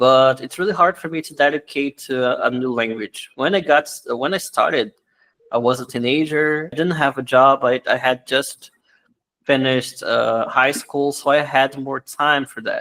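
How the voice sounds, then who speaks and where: A man with a Brazilian Portuguese accent speaks in a bright, sharp tone at a fairly high pitch with fairly even intonation. His loudness swings widely, and the sound is dry and close with no echo. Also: moderate pace. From Brazil, Rio de Janeiro. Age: 30s. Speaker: language teacher. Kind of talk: interview. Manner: halting.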